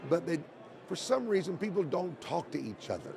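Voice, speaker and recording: Against noticeable background noise, a man with a high-pitched voice speaks at a moderate pace. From Oklahoma, US. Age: 60s. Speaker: evangelist and podcast host. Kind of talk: casual interview conversation. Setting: convention interview.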